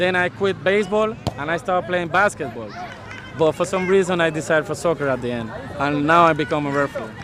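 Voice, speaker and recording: Amid noticeable background noise, a man with a Spanish accent talks at a very fast pace. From Panama. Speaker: soccer referee. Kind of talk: interview.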